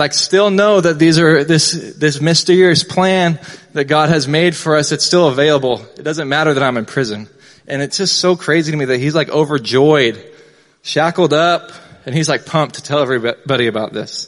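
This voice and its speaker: This man's voice sits fairly high in pitch, with ordinary pitch variation. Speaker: youth pastor. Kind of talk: sermon. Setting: church. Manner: fast talker.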